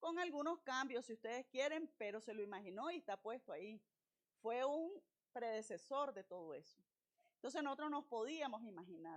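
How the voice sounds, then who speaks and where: Her pitch high and her tone animated, a woman speaks at a moderate pace with very wide pitch swings. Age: 60s. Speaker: university lecturer / invited speaker. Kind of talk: lecture.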